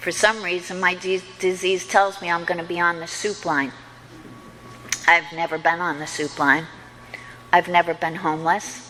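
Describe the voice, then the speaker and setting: A woman at a fairly low pitch, moderate pace and fairly even intonation, with music in the background. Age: 60s. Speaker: recovery meeting speaker. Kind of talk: testimony.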